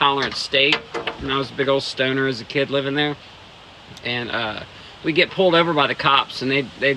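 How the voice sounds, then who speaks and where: A man's fairly high, fairly quick voice with an American accent and fairly even intonation, over noticeable background noise. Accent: northern US, noticeable in the South. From Ohio, US Midwest. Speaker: streamer. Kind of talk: casual chat. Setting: outdoors. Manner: laid-back, halting.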